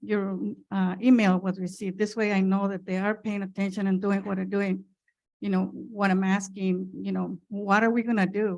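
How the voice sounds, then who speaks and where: At a moderate pace, a woman speaks at a medium pitch with monotone, flat intonation on a very clean recording with a silent background. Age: 70s. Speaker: public commenter at council meeting. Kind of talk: public comment.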